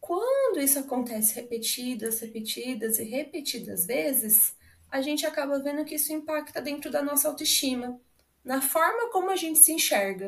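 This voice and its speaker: Her voice is high-pitched, and this woman speaks with lively intonation. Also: moderate pace. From Brazil, Paraná (Londrina). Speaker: psychologist. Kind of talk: podcast interview.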